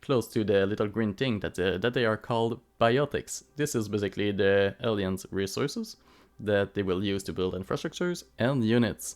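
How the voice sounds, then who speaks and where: In a very clean recording with a silent background, a man with a non-native accent speaks at a moderate pace, his fairly low pitch showing ordinary pitch variation. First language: not English. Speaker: gaming YouTuber. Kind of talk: game commentary voiceover. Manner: halting, with fillers.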